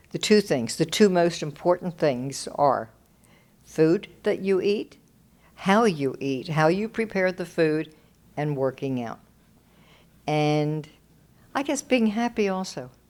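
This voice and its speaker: A woman's fairly low voice with lively intonation, a very slow pace and long, frequent pauses on a very clean recording with a silent background. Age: 80s+. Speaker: host's mother. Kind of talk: casual chat.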